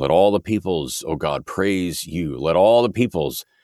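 Very deep and low with vocal fry, a man's voice carries lively intonation in a very clean, dry, close recording with a silent background and no echo. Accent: American. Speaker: prayer podcast host. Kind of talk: fervent prayer, earnest and reverent. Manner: earnest, humble, pleading.

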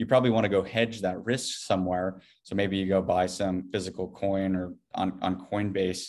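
A man's very deep, low voice in a flat monotone, at a moderate pace, with an American accent, over a quiet background. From US Midwest, rural Iowa. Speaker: tech startup CEO. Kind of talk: interview. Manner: halting, many fillers.

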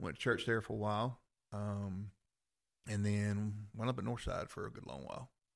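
A man's fairly low voice with a Southern US accent, ordinary pitch variation, moderate pace, big swings in loudness, and long, frequent pauses. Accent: Southern US (Georgia). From US South, Rome, Georgia. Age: 50s. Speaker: former fighter and police officer. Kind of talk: casual chat.

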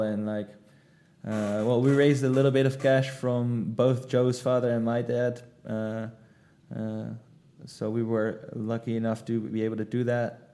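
A man speaks slowly, fairly so, with a Dutch accent and medium pitch. His tone is dark and mellow, his intonation monotone and flat. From Netherlands. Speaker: startup co-founder. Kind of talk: interview. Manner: halting.

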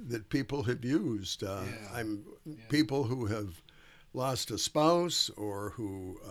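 A man with an American accent talks very slowly at medium pitch, his intonation lively. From US Midwest, Duluth, Minnesota. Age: 80s+. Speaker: retired Lutheran pastor. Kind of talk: casual interview.

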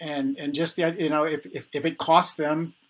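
A man with an American accent speaks at a moderate pace. His is an ordinary speaking voice, fairly high in pitch. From New York City (Bronx). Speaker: repair activist, founder of community repair events. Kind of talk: casual interview conversation.

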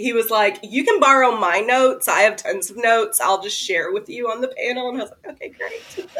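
With a Kentucky accent, a woman talks at a fairly high pitch with lively intonation, big swings in loudness and hardly any pauses, over noticeable background noise. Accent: Southern US (Kentucky). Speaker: horror novelist. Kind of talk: casual chat.

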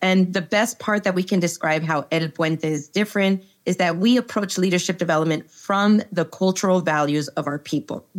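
In an ordinary speaking voice, a woman talks at medium pitch and a moderate pace with ordinary pitch variation and hardly any pauses, on a very clean recording with a silent background. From Texas, El Paso. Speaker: organizational psychologist. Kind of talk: interview conversation.

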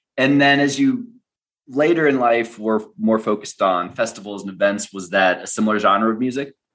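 With an American accent, a man speaks in a normal speaking voice at medium pitch and a moderate pace, using ordinary pitch variation. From United States. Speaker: podcast host. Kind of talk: interview conversation; scripted narration.

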